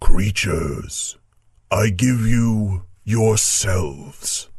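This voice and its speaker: Putting on a character voice, a man talks at a very slow pace with a fairly low pitch. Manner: happy, benevolent.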